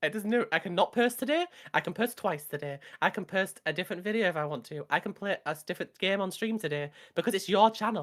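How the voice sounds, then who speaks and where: Talking at a very fast pace, a woman with a British accent and medium pitch uses lively intonation. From rural England. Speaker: streamer. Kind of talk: casual chat.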